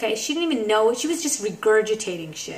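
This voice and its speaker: With a New York accent, a woman speaks in an animated tone at a fairly high pitch with ordinary pitch variation, amid noticeable background noise. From Brooklyn, New York. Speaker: comedian, vlogger. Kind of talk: casual vlog monologue.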